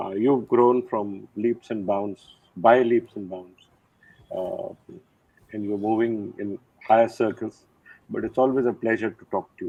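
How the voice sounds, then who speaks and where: With a Nepali accent and a medium pitch, a man speaks at a fairly slow pace with long, frequent pauses, fairly even intonation and big swings in loudness. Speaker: retired army general. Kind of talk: interview.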